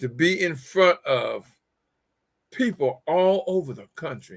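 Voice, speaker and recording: Raised and projected, a man's high voice carries a bright, sharp tone and an American accent. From West Virginia. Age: 70s. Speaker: talk show host and motivational speaker. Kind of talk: talk show monologue. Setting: conference call / online show. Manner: halting, many repetitions.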